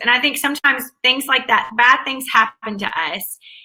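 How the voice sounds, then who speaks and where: A woman is speaking. She has a Southern US accent. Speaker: academic advisor and author. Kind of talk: interview.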